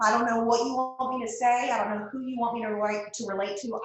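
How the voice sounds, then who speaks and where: In a Texas accent, a woman talks at a fairly quick pace and a fairly high pitch. Room echo is audible. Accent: Southern US (Texas). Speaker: guest speaker, direct sales leader. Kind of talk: motivational talk on a video call. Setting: video call. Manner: animated.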